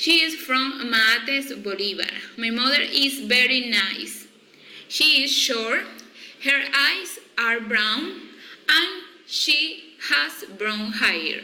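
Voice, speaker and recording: A woman's high, raised, projected voice in a Spanish accent, very slow with long, frequent pauses, amid noticeable background noise and audible room echo. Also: lively intonation. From Colombia, Cartagena. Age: 20s. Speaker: psychology student. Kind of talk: reading aloud a class self-introduction. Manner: slow, deliberate learner English.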